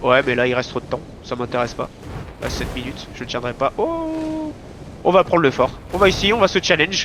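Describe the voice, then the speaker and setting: A man talks at a fairly quick pace, broken by long, frequent pauses. Noticeable background noise runs underneath. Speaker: gaming shot-caller. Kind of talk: live game voice chat commands. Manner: fast.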